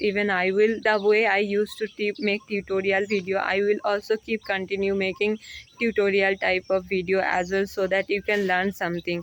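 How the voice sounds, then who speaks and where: With a Bengali accent, a woman talks at a moderate pace in a medium pitch, her intonation monotone and flat against noticeable background noise. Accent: Indian (Bengali) English. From India, West Bengal. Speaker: English learning vlogger. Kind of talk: casual vlog talk to camera. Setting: outdoors on a terrace, walking. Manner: halting, with fillers.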